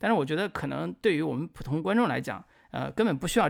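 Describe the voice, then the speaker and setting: Fairly quick male speech on a very clean recording with a silent background. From northern China. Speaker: film podcast host. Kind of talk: casual chat.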